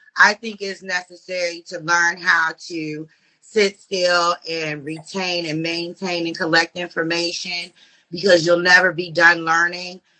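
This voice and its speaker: Speaking in a slight DC accent, a woman with a fairly low pitch and monotone, flat intonation goes at a fairly slow pace with big swings in loudness. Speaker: podcast co-host. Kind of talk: casual chat. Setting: Instagram live stream.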